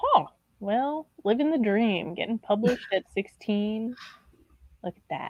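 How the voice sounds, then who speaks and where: With lively intonation and a fairly high voice, a woman speaks at a fairly slow pace with long, frequent pauses in a dry, close sound with no echo. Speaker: booktuber guest. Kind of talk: casual chat.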